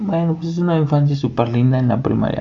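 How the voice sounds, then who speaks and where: A man with a Mexican accent speaks with lively intonation. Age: 20s. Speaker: podcaster. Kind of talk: casual monologue. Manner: hesitant, many fillers.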